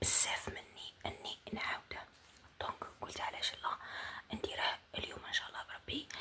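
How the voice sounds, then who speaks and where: Someone whispers at a moderate pace in an Algerian accent, with noticeable background noise. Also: woman. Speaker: ASMR creator. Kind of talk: ASMR intro talk. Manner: whispered.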